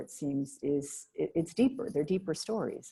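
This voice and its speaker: A woman's somewhat breathy, dark, mellow voice, fairly low in pitch, with an American accent, on a very clean recording with a silent background. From Boston area, Massachusetts. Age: 60s. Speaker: novelist interviewer. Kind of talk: author conversation.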